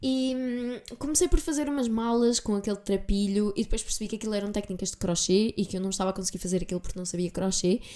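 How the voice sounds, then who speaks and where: A woman's dark, mellow tone at a medium pitch, with ordinary pitch variation, a very fast pace and hardly any pauses. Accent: European Portuguese. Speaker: podcast host. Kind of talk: solo podcast monologue. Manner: casual, chatty.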